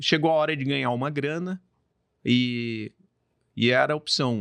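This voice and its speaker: Speaking at a fairly slow pace, a man with a Mato Grosso accent has a fairly high pitch. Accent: Mato Grosso accent, noticeable. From Brazil, Mato Grosso (born São Paulo). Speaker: construction company owner. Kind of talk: podcast interview. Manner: casual, storytelling.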